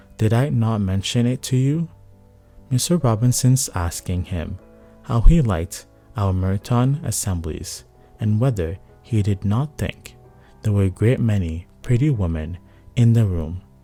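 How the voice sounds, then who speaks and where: Against music in the background, a man with a fairly low pitch speaks fairly slowly with lively intonation. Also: long, frequent pauses. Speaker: bedtime story narrator. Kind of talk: sleep story reading of a classic novel.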